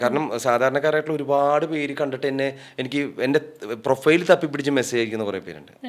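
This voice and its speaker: Noticeable background noise runs behind a man's fairly high voice. His intonation stays fairly even. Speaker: radio jockey and dubbing artist. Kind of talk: podcast interview answer, conversational.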